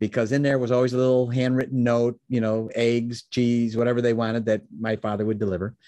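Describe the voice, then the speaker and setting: Quiet surroundings behind a man speaking in an American accent. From US Midwest, Chicago area. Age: 60s. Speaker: business mentor and founder. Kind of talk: interview. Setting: video call. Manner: animated.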